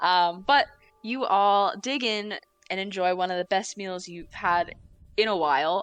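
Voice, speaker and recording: A woman with an American accent talks at a moderate pace and medium pitch, with ordinary pitch variation and music in the background. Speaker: dungeon master. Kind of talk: tabletop roleplay narration. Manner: casual, with many fillers.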